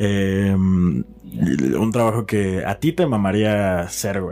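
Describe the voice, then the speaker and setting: Lively intonation plays across this dark, mellow tone. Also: man. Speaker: podcast co-host and producer. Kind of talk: casual chat.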